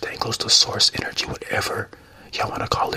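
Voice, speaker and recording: Whispering in a relaxed tone. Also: man. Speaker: ASMR creator. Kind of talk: casual ramble to camera. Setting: studio, drinking tea. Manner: soft-spoken, relaxed. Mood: reflective, positive. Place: home room. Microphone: handheld.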